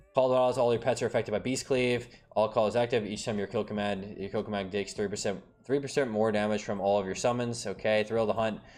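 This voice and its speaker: Backed by music, a man speaks at a fairly quick pace. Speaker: gaming streamer. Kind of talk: casual commentary reading patch notes. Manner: fast; animated.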